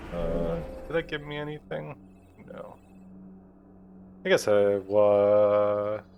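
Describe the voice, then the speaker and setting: Over noticeable background noise, a man with a fairly low pitch talks at a very slow pace, with long, frequent pauses and big swings in loudness. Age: 20s. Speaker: gaming let's play creator. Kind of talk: casual gameplay commentary. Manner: casual, filler-heavy.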